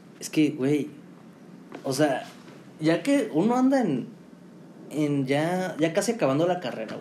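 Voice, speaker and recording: With a Mexican accent, a man speaks at a fairly high pitch and a fairly slow pace, using lively intonation and long, frequent pauses, with audible room echo. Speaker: podcast co-host, marketing student. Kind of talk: casual chat.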